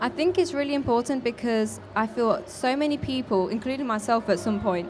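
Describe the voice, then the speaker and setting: A woman with a Midlands accent, high pitch, lively intonation, very even loudness and a fairly quick pace, amid noticeable background noise. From English Midlands, Leicester. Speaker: activist. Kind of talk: interview. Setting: live event.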